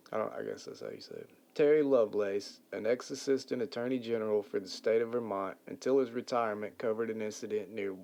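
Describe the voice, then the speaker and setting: At a fairly quick pace, a man speaks with medium pitch and a dark, mellow tone. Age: 40s. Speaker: podcast host. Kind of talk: casual chat.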